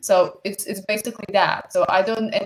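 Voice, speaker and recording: This woman with a Bosnian accent speaks at a moderate pace. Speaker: student. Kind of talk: conference presentation. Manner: halting, many repetitions.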